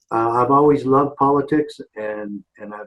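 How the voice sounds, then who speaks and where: Here is an ordinary speaking voice from a man. His pitch is fairly high, with ordinary pitch variation. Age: 60s. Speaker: former sheriff and activist. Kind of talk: interview.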